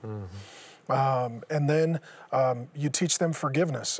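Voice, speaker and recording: With an American accent, a man speaks in an unremarkable speaking voice, pitched fairly high, with ordinary pitch variation. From US Pacific Northwest (Seattle). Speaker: former pastor. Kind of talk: interview testimony.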